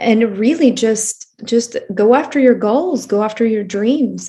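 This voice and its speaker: Somewhat breathy and fairly high-pitched, a woman speaks at a fairly slow pace. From Albania, Elbasan. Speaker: podcast host. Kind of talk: interview.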